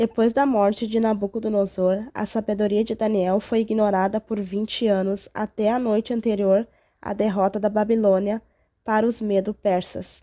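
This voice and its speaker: On a very clean recording with a silent background, a woman speaks at a moderate pace with a fairly high pitch, a dark, mellow tone and monotone, flat intonation. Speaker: Bible teacher. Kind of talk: Bible story narration.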